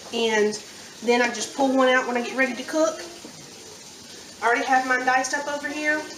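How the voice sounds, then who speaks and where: Speaking with a strong Southern US accent, a woman has a high-pitched voice. Noticeable background noise and audible room echo fill the recording. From US South, central Alabama. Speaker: home cook. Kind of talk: tutorial. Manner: casual.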